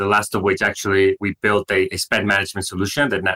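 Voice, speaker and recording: In a Mexican accent, a man talks very fast at a fairly low pitch with a bright, sharp tone, the sound dry and close with no echo on a very clean recording with a silent background. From Mexico, Monterrey. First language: Spanish. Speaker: startup founder and CEO. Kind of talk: interview.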